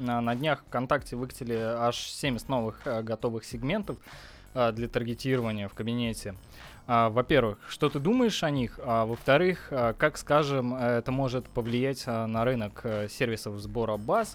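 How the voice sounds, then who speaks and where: The speaker has an ordinary speaking voice with ordinary pitch variation, at a fairly slow pace. The recording is very clean, with a silent background. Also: man. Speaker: podcast host. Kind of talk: casual interview.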